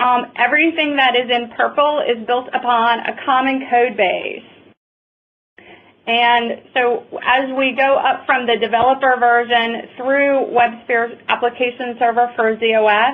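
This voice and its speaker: With a high pitch, fairly even intonation, and very even loudness, a woman speaks. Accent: Southern US. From US South, North Carolina. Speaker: software product presenter. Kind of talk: webinar presentation.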